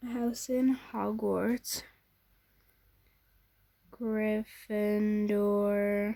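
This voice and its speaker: A very slow, flat monotone with a dark, mellow tone, broken by long, frequent pauses. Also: woman, fairly high pitch for a woman. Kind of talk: casual gameplay commentary.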